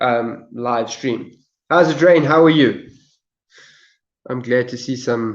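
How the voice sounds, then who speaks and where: A man with a South African accent speaks at a very slow pace with long, frequent pauses. His pitch is medium, with ordinary variation. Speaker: live streamer. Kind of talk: casual live stream chat. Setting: live stream from phone. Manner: halting, repetitive.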